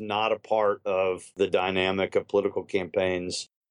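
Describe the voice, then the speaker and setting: A man talks at a moderate pace in an ordinary speaking voice, with ordinary pitch variation and a dry, close sound with no echo against a quiet background. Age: 40s. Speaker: political consultant. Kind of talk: interview.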